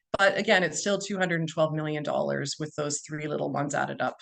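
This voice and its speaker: With a Canadian accent, a woman speaks at a fairly quick pace amid noticeable background noise. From Ontario, Canada. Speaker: physician. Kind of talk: webinar presentation. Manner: loud.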